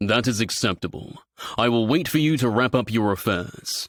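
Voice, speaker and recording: On a very clean recording with a silent background, a man puts on a character voice at medium pitch and a moderate pace. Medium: read story. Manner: formal, stately.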